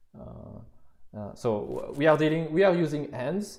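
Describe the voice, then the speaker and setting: A man with a French accent and a fairly high pitch talks amid audible room echo. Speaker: university lecturer. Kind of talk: lecture. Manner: halting, many fillers and repetitions.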